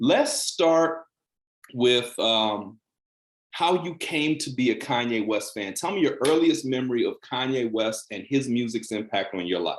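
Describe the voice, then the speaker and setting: In an unremarkable speaking voice, someone talks at a fairly slow pace with lively intonation. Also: man, medium pitch for a man. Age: 40s. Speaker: journalist, channel host. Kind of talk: casual interview chat. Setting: video call.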